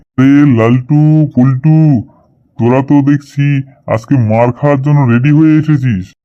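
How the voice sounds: A cartoonish character voice moves at a moderate pace with fairly even intonation. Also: man, medium pitch for a man.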